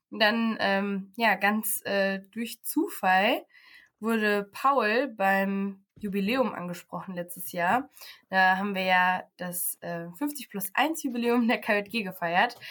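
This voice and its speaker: Her pitch is medium, with ordinary variation. The woman speaks at a very slow pace. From Paderborn, Germany. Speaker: social work student. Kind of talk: casual interview.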